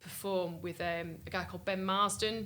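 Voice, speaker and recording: Talking at a fairly quick pace with fairly even intonation, a woman has a bright, sharp tone with vocal fry and audible room echo. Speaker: singer-songwriter. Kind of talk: interview. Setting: music festival.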